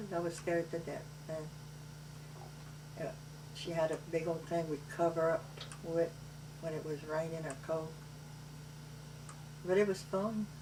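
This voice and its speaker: Against noticeable background noise, a woman speaks at a very deep, low pitch and a fairly slow pace. Her intonation is monotone and flat, with long, frequent pauses. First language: Cajun French. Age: 70s. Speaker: grandmother telling family memories. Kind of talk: family oral history interview. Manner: loud.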